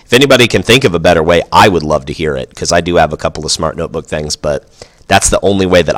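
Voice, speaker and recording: Vocal fry runs through this man's voice. His pitch is very deep and low. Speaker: teacher giving staff training. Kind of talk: screencast tutorial. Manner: fast.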